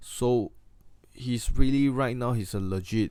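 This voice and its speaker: A man's dark, mellow tone in a Singaporean accent, at a moderate pace with fairly even intonation, on a very clean recording with a silent background. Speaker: wrestling YouTuber. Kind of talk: casual review monologue. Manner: halting, many fillers and restarts.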